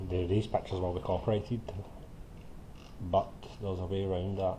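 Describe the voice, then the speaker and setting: In a Scottish accent, a man speaks with a very deep, low pitch, a dark, mellow tone, fairly even intonation and a somewhat breathy quality. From Scotland. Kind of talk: screen-recording software tutorial. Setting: poor-quality home mic.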